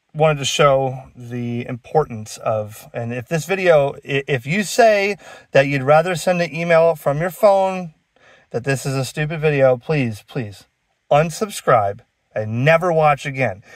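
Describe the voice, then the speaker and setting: Against a quiet background, a man talks at a fairly slow pace with a dry sound and no echo. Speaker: ham radio hobbyist. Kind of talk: casual vlog chat. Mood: sarcastic, animated. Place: car. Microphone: phone near.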